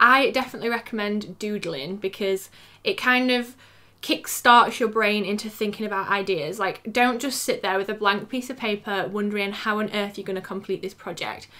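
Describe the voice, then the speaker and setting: On a very clean recording with a silent background, a woman speaks with a British accent, a fairly high pitch, a bright, sharp tone, and ordinary pitch variation. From England. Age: 20s. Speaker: freelance graphic designer and YouTuber. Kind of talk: casual talk to camera.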